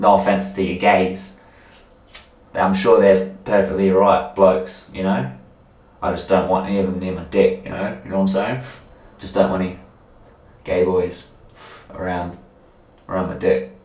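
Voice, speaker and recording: Amid audible room echo, a man with a very deep, low pitch keeps his intonation fairly even and talks at a moderate pace with long, frequent pauses. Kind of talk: casual rambling monologue to camera. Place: bathroom. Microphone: camera far.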